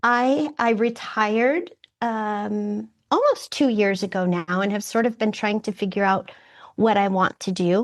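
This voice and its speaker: In a quiet background, a woman with an unremarkable speaking voice talks at a fairly high pitch. She goes at a fairly slow pace with ordinary pitch variation. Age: 60s. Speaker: retiree returning to college, community theater actor. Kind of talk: interview conversation. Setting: public library, remote call.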